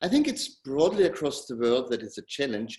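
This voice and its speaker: A man speaks with a German accent at a moderate pace. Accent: German-speaking. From Austria. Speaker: tech company co-founder. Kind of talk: interview.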